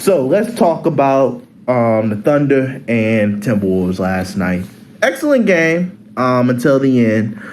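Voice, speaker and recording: At a fairly slow pace, a man with a medium pitch makes very wide pitch swings amid noticeable background noise and audible room echo. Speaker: sports YouTuber. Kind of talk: casual sports commentary vlog. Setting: on college campus. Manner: hesitant, many fillers.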